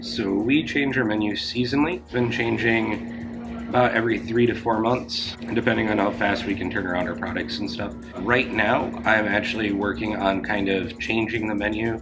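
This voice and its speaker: A man talks at a moderate pace. Music plays clearly in the background. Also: ordinary pitch variation. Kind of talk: interview answer. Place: bar.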